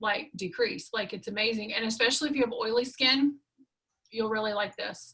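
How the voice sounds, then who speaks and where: This woman's voice sits at a fairly high pitch with a bright, sharp tone. She moves at a fairly quick pace with ordinary pitch variation. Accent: Southern. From US South. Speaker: skincare sales consultant. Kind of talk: sales pitch.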